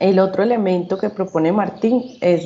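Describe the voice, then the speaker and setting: The woman's voice is fairly low in pitch, with fairly even intonation. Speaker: psychology student. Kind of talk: class panel presentation. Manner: halting, with fillers.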